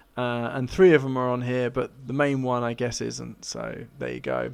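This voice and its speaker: This man speaks with a British accent at a moderate pace. His pitch is medium. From Britain. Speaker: YouTuber. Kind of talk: casual vlog commentary.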